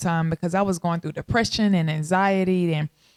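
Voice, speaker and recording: A woman's fairly low-pitched voice with a slight South Texas accent. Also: dry, close sound with no echo. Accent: slight Southern Texas. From Texarkana, Arkansas/Texas border, US South. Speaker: podcast host. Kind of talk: casual monologue. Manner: animated.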